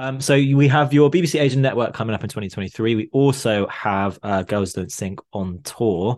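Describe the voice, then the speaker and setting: A man with a medium-pitched, ordinary speaking voice talks with hardly any pauses. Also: lively intonation, moderate pace, quiet background. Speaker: podcast co-host. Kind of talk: casual chat.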